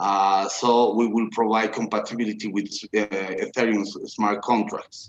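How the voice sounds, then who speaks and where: This man's fairly low voice stays monotone, with flat intonation. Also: moderate pace. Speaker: blockchain engineer. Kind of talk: video Q&A interview. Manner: halting, many fillers.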